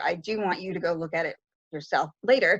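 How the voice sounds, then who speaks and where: At a moderate pace and medium pitch, a woman with a normal speaking voice talks with ordinary pitch variation against a quiet background. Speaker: librarian presenter. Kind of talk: online tutorial presentation.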